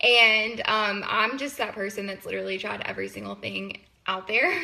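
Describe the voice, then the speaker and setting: Over noticeable background noise, a woman with a Southern US accent speaks at a moderate pace and medium pitch. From US South, Mississippi. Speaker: university student and sales consultant. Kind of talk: personal testimony.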